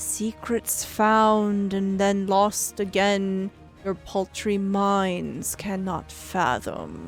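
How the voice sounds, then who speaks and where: A woman performs a put-on character voice at a medium pitch and a very slow pace. Clear music plays in the background. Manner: ominous, arcane, cryptic.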